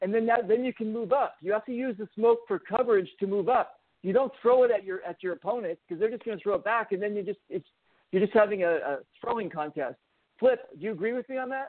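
The voice sounds animated and moves at a very fast pace. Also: man, high pitch for a man, ordinary pitch variation. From Los Angeles. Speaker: paintball player. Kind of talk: casual chat. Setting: phone call.

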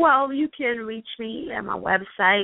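A woman with an American accent, at a very slow pace. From New York. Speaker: author and self-publishing coach. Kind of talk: radio interview. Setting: phone call.

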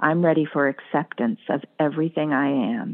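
A woman with an unremarkable speaking voice, fairly low in pitch, at a fairly slow pace with ordinary pitch variation. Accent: American. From US New England. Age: 50s. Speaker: psychotherapist. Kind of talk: casual interview chat, with poem reading.

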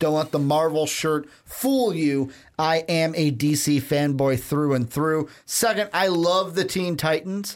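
In a very clean recording with a silent background, a man talks at a fairly slow pace with hardly any pauses and very even loudness. He has an unremarkable speaking voice, fairly high in pitch, with ordinary pitch variation. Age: 20s. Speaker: podcast co-host. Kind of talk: casual chat.

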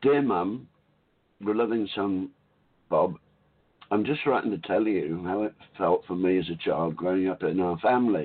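A man speaks in an Australian accent at a moderate pace, his pitch fairly low with ordinary variation. Long pauses come often. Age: 60s.

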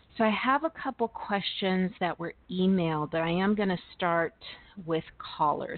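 A woman talks at a moderate pace, her medium pitch showing ordinary pitch variation. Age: 50s. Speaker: tarot reader and internet radio host. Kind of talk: live call-in tarot reading show. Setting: internet radio call-in show.

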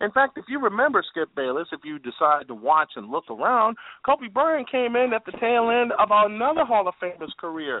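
A man's high-pitched voice with very wide pitch swings, a moderate pace and hardly any pauses. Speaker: sports broadcaster, play-by-play guest. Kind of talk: sports talk rant.

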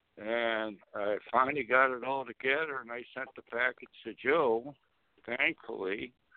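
At a fairly slow pace, a man talks in a plain, everyday voice at medium pitch, his intonation fairly even but his loudness swinging widely. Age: 50s. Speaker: cannabis activist and grower. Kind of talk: phone-in radio talk. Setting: phone call.

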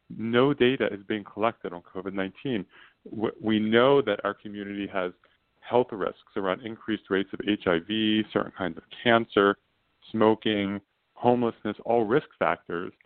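With a plain, everyday voice, a man speaks fairly slowly at a fairly low pitch with ordinary pitch variation. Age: 40s. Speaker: state senator. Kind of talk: interview.

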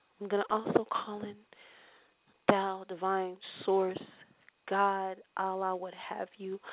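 The speaker talks very slowly in a calm, gentle tone with a flat monotone. Long pauses come often. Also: woman, medium pitch for a woman, big swings in loudness. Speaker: spiritual healer and tarot reader. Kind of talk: guided meditation; radio show with prayer circle. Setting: internet radio show. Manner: slow, soothing, repetitive.

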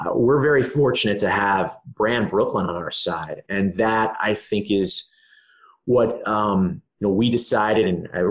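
With a quiet background, a man with an American accent talks in an ordinary speaking voice, fairly low in pitch, with fairly even intonation. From Maryland. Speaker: sports team marketing executive. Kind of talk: podcast interview.

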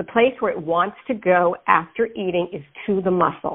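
Using a plain, everyday voice, a woman speaks at a moderate pace and a medium pitch with ordinary pitch variation. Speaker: dietitian and diabetes educator. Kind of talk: interview.

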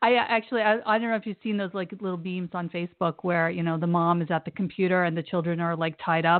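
Speaking with an American accent, a woman uses a fairly low-pitched voice. She talks at a very fast pace with hardly any pauses. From Brooklyn, New York. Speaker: podcast host and romance author. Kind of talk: interview.

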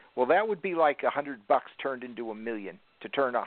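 There's a plain, everyday voice from a man with ordinary pitch variation. He talks at a fairly quick pace. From northern US. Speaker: radio network owner. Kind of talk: casual chat.

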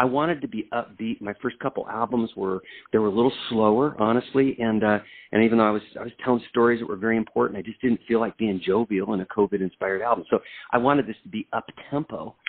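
A very fast-talking man with an American accent, medium pitch and fairly even intonation. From US military family, raised around the world; settled in Oregon. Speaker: singer-songwriter. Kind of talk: interview.

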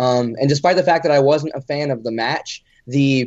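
Speaking at a fairly quick pace, a man uses a normal speaking voice with fairly high pitch and fairly even intonation. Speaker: wrestling podcast co-host. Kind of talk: casual chat.

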